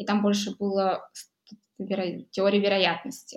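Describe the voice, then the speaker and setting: This woman's voice has a medium pitch. She talks at a moderate pace. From Buryatia, Russia (Ulan-Ude). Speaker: electricity price analyst, mathematician. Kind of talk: casual interview conversation. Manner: hesitant with filler sounds.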